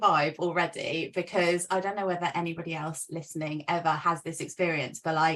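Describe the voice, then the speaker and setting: A woman with a London accent speaks at a moderate pace and a fairly low pitch. Background noise is noticeable. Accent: British, London. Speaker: sales and business mentor. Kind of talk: interview.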